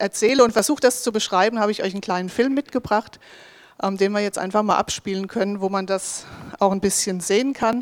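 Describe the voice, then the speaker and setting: In an ordinary speaking voice of medium pitch, a woman talks at a fairly quick pace with fairly even intonation. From southern Hesse, Germany (Bensheim area). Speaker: ministry worker presenting a mission project. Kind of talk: project presentation.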